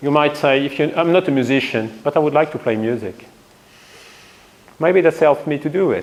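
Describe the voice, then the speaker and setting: Over noticeable background noise, a man speaks at a moderate pace and fairly high pitch with ordinary pitch variation. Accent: French. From France. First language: French. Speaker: physics professor. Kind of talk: lecture.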